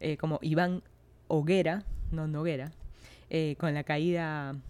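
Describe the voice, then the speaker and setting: A woman's very deep, low pitch with a Peruvian accent. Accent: Peruvian Spanish (Lima). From Peru, Lima. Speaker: podcast host. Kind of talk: casual monologue.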